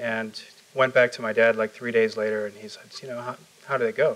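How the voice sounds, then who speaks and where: Fairly quick delivery from a man. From Chicago, US Midwest. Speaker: tech startup founder. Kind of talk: onstage interview. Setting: stage with audience. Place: meeting room. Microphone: lapel.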